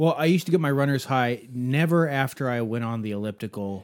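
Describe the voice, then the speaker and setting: The recording is very clean, with a silent background. An unremarkable speaking voice moves at a fairly quick pace with lively intonation. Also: man. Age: 30s. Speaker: podcast co-host. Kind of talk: casual chat.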